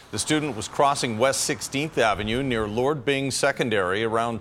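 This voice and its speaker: In a normal speaking voice, a man talks at a moderate pace with medium pitch and lively intonation. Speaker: news anchor. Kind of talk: TV newsreading, anchor introductions. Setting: TV studio. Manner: formal, measured, polished anchor delivery.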